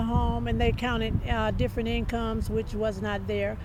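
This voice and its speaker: Audible room echo surrounds speech delivered at a fairly quick pace. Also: woman. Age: 70s. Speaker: evicted homeowner. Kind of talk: interview. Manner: hesitant, many fillers.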